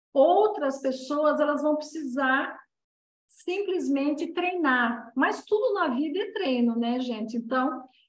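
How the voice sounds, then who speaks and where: The room gives off audible echo. Within it, a woman talks very slowly. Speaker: Reiki and dowsing teacher. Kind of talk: online class lecture.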